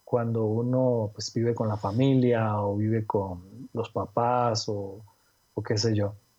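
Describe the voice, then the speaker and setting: A man speaks at a medium pitch. His tone is dark and mellow, somewhat breathy. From Costa Rica (Cartago). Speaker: illustrator. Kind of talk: interview conversation. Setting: call.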